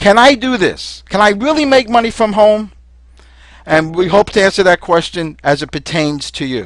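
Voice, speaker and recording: At a moderate pace, a high-pitched man with a slight Brooklyn accent speaks with lively intonation. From New York City (Brooklyn). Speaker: home business distributor. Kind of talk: sales pitch. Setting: webinar.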